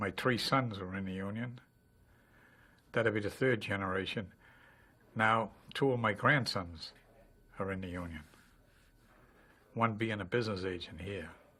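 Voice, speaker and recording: Speaking at a moderate pace with long, frequent pauses, a man uses a fairly low pitch, ordinary pitch variation and a bright, sharp tone. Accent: American. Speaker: retired teamster. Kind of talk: testimony.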